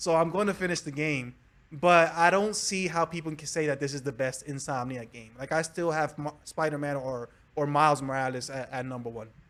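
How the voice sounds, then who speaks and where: A man talks in a Spanish accent at a fairly quick pace. His pitch is fairly high. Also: ordinary pitch variation. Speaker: gaming video creator. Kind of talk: casual chat. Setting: live stream podcast.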